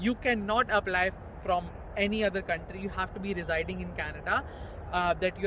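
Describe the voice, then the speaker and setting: Noticeable background noise sits behind a man talking at a high pitch and a fairly quick pace. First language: not English. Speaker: immigration explainer vlogger. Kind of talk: informative casual chat.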